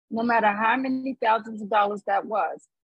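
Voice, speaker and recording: A woman speaks at a moderate pace and a fairly high pitch. Her voice is somewhat breathy, with ordinary pitch variation. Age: 50s. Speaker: podcast co-host. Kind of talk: casual chat. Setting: outdoors.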